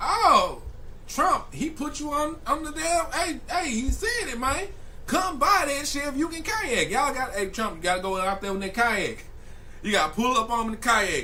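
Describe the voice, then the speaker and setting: A man speaks in a raised, projected voice at a moderate pace, with an extremely high pitch, very wide pitch swings, and an animated tone. Noticeable background noise and audible room echo fill the recording. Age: 20s. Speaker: streamer reacting to news videos. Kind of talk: live stream reaction commentary.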